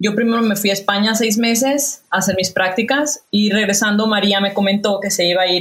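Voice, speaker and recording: A woman with an ordinary speaking voice. Her pace is moderate and her pitch shifts in an ordinary way. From Mexico, Guadalajara (Jalisco). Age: 30s. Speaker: chef. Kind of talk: casual chat. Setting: video call.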